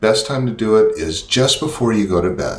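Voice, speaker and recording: Moderate-paced speech from a man, audible room echo and noticeable background noise around it. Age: 60s. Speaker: product demonstrator, channel host. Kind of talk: tutorial. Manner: casual, many fillers.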